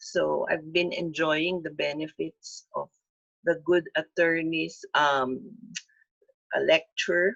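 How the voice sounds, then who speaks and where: A woman at a very slow pace in a dry, close sound with no echo. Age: 60s. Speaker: webinar lecturer. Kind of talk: webinar lecture.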